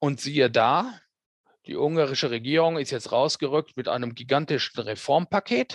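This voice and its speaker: This man has a normal speaking voice, fairly high in pitch with ordinary pitch variation. He talks at a moderate pace in a dry, close sound with no echo. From Germany, Ruhr area (Hamm). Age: 50s. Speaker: radio correspondent. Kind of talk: interview. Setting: remote call.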